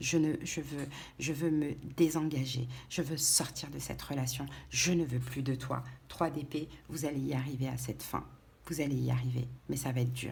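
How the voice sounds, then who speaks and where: A soft-spoken woman amid audible room echo. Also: moderate pace. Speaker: tarot reader. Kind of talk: tarot reading. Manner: halting.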